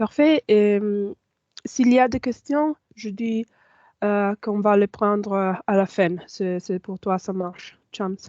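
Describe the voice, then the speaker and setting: A woman talks at a very slow pace with a non-native accent, a medium pitch and ordinary pitch variation. Her tone is dark and mellow, and the sound is dry and close with no echo against a quiet background. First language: not French (speaking French). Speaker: information management officer and trainer. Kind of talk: online training tutorial. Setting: video call with screen sharing. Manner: halting, many fillers.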